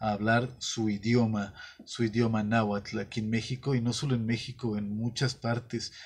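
A man speaks fairly slowly in a somewhat breathy voice with monotone, flat intonation. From Mexico. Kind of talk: monologue; commentary to camera. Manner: halting, with filler sounds. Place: studio.

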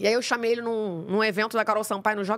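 A woman's fairly high-pitched voice over a quiet background. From Rio de Janeiro, Praça Seca; Rio de Janeiro. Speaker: podcast host. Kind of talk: casual interview. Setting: studio. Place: studio. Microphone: studio mic.

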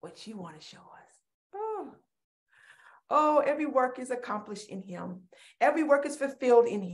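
A woman with a high pitch speaks at a moderate pace, with very wide pitch swings, big swings in loudness and long, frequent pauses. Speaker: preacher. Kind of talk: sermon and fervent prayer. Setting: virtual service online. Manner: fervent, exhortatory; animated. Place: home room. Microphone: webcam.

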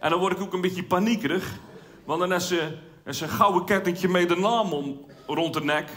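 A man with a high pitch talks at a fairly quick pace. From Zeeland, Netherlands. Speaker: amateur cabaret comedian. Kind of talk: stand-up comedy routine. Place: stage. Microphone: headset.

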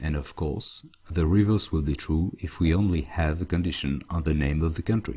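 In a French accent, a man speaks with a very deep, low pitch, a dark, mellow tone, ordinary pitch variation and a somewhat breathy sound. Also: moderate pace. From France. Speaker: database consultant. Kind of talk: tutorial.

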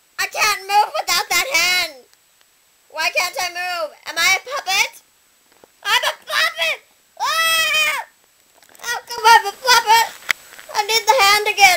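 A cartoonish character voice at an extremely high pitch moves at a fairly slow pace, broken by long, frequent pauses. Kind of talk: comedic puppet sketch. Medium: puppet. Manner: excitable, indignant.

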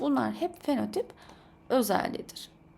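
Her voice has a dark, mellow tone, though this woman's pitch is fairly high. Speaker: science teacher. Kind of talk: tutorial. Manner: animated.

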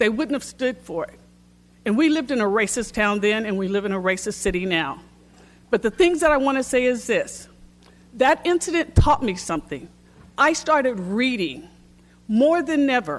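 This woman has a high pitch and an American accent. Her pitch swings very widely at a moderate pace. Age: 60s. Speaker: public commenter at city council. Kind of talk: public comment speech.

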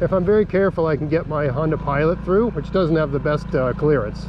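With noticeable background noise around him, a man speaks fairly quickly, and the sound is dry with no echo. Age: 40s. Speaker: outdoors YouTuber. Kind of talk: vlog narration. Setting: outdoors, riding a scooter on a logging road. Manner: casual, with many fillers.

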